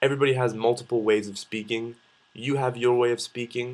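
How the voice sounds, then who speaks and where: A man with a medium pitch speaks at a moderate pace, his intonation fairly even. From Canada, Vancouver. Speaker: vlogger. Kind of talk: casual vlog monologue. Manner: hesitant, many fillers and repeats.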